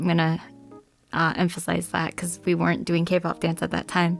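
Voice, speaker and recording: Over music in the background, a woman talks in a fairly low pitch. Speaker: podcast co-host. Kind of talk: casual chat.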